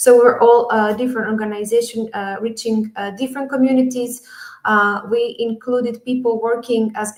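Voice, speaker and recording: Monotone, flat intonation from a woman, with noticeable background noise. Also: big swings in loudness. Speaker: education project speaker from an NGO. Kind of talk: conference presentation. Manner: hesitant, many fillers.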